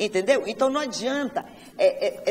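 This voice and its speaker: The tone is energetic. Noticeable background noise sits behind the voice. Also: woman. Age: 60s. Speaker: entrepreneur, panel guest. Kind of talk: talk show panel discussion.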